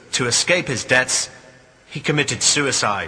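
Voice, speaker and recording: Noticeable noise runs in the background. A man is talking through it. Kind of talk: documentary-style narration.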